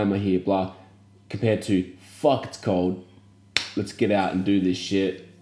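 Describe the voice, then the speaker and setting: Moderately paced speech from a man with an Australian accent and a fairly low pitch. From Australia, small country town. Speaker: podcast co-host. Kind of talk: casual chat.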